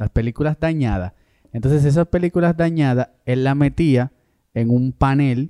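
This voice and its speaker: Dark and mellow in tone, the voice moves at a fairly slow pace with ordinary pitch variation, in a dry, close recording with no echo. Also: man. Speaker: podcast host. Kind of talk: casual chat. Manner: animated.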